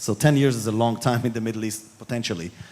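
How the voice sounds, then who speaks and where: Speaking at a very fast pace with a strong Israeli accent, a man keeps his intonation fairly even. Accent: strong Israeli accent, still noticeable. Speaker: panelist on diplomacy. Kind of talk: panel discussion. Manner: halting, many repetitions.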